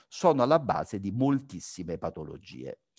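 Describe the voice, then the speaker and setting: The sound is dry and close with no echo as a man of medium pitch talks at a moderate pace, his pitch swinging very widely. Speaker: physician, sleep-disordered breathing specialist. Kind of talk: lecture. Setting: video call.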